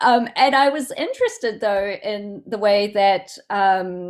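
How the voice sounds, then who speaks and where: A woman's medium-pitched voice in a Southland New Zealand accent, ordinary pitch variation, very clean recording with a silent background. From New Zealand, Southland. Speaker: poet. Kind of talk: Q&A discussion. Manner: halting.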